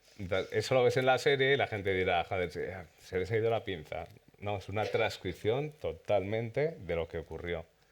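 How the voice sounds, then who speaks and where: A man with a fairly low pitch and a normal speaking voice. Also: lively intonation, moderate pace. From Spain, Zaragoza (Aragon). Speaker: series director. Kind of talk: festival Q&A panel. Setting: cinema with audience.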